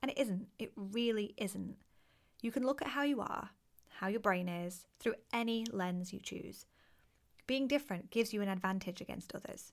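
At a moderate pace and medium pitch, a woman speaks with ordinary pitch variation on a very clean recording with a silent background. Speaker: podcast host and neuro-inclusive business coach. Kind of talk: solo podcast monologue. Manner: soft-spoken.

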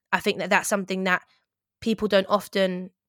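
A woman with an English accent speaks at a medium pitch in a monotone, flat intonation. The sound is dry and close, with no echo. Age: 30s. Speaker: broadcaster and writer. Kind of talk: interview about grief.

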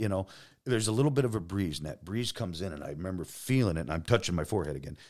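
A man with an American accent talks at a very fast pace in a very deep, low pitch with vocal fry and very wide pitch swings, captured in a very clean recording with a silent background. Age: 50s. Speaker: police detective. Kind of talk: casual interview. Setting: studio. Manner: loud.

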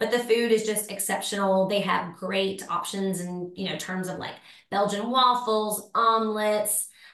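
A woman's medium-pitched voice, flat and monotone, with big swings in loudness, audible room echo and noticeable background noise. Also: fairly slow pace. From Tennessee, Nashville. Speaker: lifestyle blogger and rental property owner. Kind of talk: casual interview chat.

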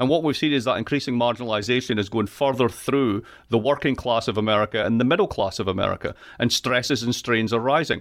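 With a Scottish accent, a man talks at a very fast pace in a medium pitch, with ordinary pitch variation and very even loudness. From Scotland. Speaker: political economy professor. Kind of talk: interview. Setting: video call. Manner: animated.

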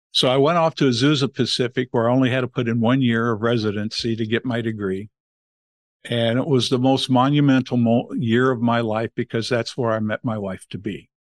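A man with a Californian accent talks at a fairly quick pace, medium in pitch and fairly even in intonation. The background is quiet, and the sound is dry and close with no echo. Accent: General American (Californian). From Los Angeles, US West Coast. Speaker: family foundation head, former pastor. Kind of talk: interview conversation.

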